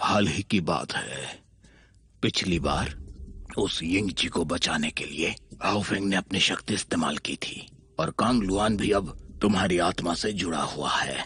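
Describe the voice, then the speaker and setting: A man puts on a character voice, pitched very deep and low, and talks at a moderate pace. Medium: fan dub. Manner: calm, cryptic.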